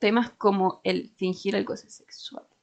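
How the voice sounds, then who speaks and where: With a Chilean accent, a woman speaks in a medium-pitched voice. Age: 20s. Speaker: podcast co-host. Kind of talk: casual chat.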